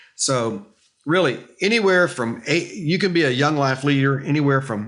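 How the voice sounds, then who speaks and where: In an unremarkable speaking voice, a man talks at a fairly high pitch and a moderate pace. His intonation is lively. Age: 60s. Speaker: youth ministry leader. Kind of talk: interview.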